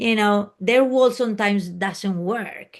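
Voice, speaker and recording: A woman with a Spanish accent speaks at a medium pitch with ordinary pitch variation. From Spain. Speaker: private jet flight attendant. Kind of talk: interview. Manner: halting.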